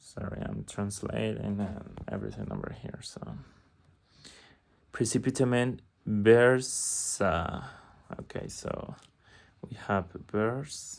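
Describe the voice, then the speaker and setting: Very slow speech in a Spanish accent, broken by long, frequent pauses. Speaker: language learner vlogger. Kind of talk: casual video diary with reading aloud. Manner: halting, hesitant.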